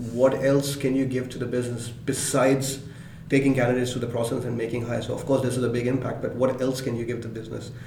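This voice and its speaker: Over noticeable background noise, the speaker talks at a very fast pace in a flat monotone. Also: man, medium pitch for a man. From Pakistan. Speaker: head of tech recruiting. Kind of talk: interview.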